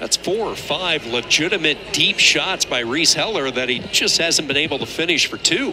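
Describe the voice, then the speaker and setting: A man with a fairly high pitch talks at a moderate pace, with lively intonation and hardly any pauses. Noticeable background noise runs under his voice. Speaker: play-by-play commentator. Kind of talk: live sports commentary. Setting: broadcast booth at a wrestling dual.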